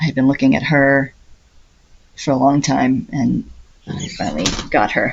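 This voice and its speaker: A soft-spoken woman talks at a moderate pace, leaving long, frequent pauses. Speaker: cross-stitch video creator. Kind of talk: casual hobby update talk. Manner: soft-spoken, trying to be quiet; chatty, hesitant with fillers.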